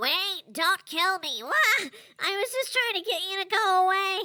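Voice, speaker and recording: A put-on character voice, nasal and squeaky, at an extremely high pitch. It moves at a fairly slow pace. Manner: dorky, not evil.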